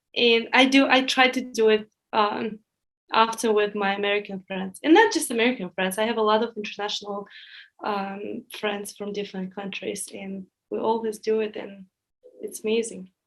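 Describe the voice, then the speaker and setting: A woman with a Russian accent, fairly high-pitched, at a moderate pace, her intonation fairly even but her loudness swinging widely. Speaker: former student employee. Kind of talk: podcast interview.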